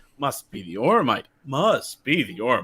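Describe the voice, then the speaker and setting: Using a put-on character voice, a man mumbles at a moderate pace in a fairly high pitch with very wide pitch swings. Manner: mumbling, muttered.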